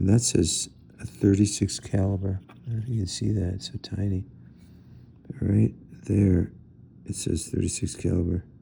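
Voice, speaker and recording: Pausing long and often at a moderate pace, a man talks in a dark, mellow tone with vocal fry. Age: 60s. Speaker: gun collector. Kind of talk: tutorial. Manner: halting, many fillers; casual.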